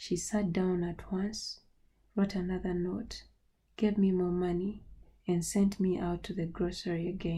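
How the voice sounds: Simply a natural reading voice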